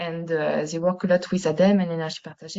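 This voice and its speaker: A woman with a French accent speaks at a fairly low pitch. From France. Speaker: university researcher. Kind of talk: webinar presentation. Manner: halting, many fillers.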